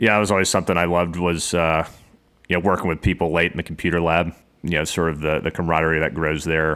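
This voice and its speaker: Words come out very fast here. They carry a Southern US accent. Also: man. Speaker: podcast host. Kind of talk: interview.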